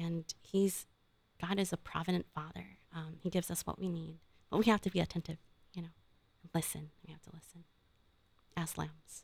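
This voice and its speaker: A woman's fairly low voice with vocal fry, fairly even intonation, big swings in loudness, and long, frequent pauses at a moderate pace. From Philippines, then California from age 11. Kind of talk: reading aloud.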